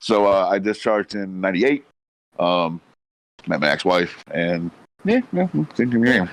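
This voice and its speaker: A man at a moderate pace, ordinary pitch variation, long and frequent pauses, quiet background. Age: 40s. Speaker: military veteran, streamer guest. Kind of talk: casual live-stream interview.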